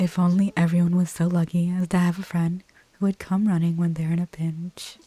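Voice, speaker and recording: The speaker is soft-spoken with a relaxed tone. The pace is fairly quick. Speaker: ASMR gaming YouTuber. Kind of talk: casual reactions and commentary to the game. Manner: soft-spoken, relaxed.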